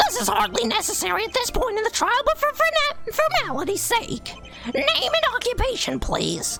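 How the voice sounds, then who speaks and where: An extremely high-pitched put-on character voice at a moderate pace, with clear music behind it. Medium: game stream. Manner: formal, slightly stammering.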